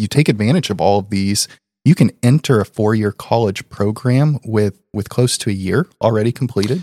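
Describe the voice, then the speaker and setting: A man with a Midwestern American accent speaks at a moderate pace, his pitch fairly low with ordinary variation. The sound is dry and close with no echo, in a very clean recording with a silent background. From Indiana. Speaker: school district technology officer, podcast co-host. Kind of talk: casual chat.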